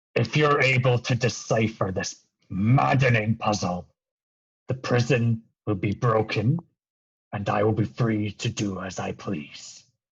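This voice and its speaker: A raspy, put-on character voice from a man at medium pitch and a fairly slow pace. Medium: actual play. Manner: cryptic, evasive.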